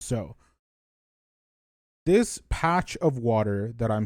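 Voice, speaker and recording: This man's voice sits at a medium pitch and has lively intonation. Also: very clean recording, silent background. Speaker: speedrunner. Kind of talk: tutorial. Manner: casual with fillers.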